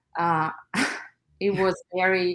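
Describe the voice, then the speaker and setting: A woman with a Russian accent, at a very slow pace. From Russia (Armenian-born, moved at five). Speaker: nail artist and educator. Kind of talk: interview. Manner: hesitant, many fillers.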